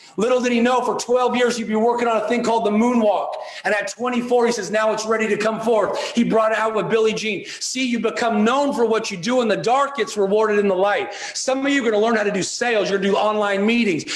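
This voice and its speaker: A man talks in a high, animated voice at a very fast pace with hardly any pauses, amid audible room echo and noticeable background noise. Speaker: motivational speaker. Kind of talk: motivational speech.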